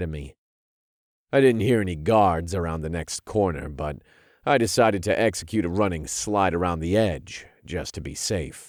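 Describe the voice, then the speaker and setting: A man puts on a gruff, growling character voice at a very deep, low pitch. He speaks at a moderate pace in a very clean recording with a silent background. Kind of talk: gritty military action audiobook narration. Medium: read story. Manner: terse, gruff, growling.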